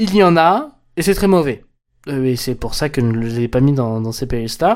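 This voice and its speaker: A man at medium pitch and a moderate pace. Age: 20s. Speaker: podcast host. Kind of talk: casual solo commentary. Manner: halting, many repetitions and fillers.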